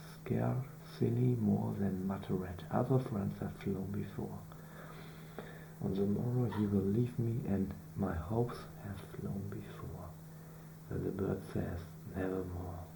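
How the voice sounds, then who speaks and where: Speaking at a fairly slow pace with long, frequent pauses, a man with a non-native accent uses a very deep, low pitch marked by very wide swings, and noticeable background noise runs underneath. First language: not English. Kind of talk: poetry reading.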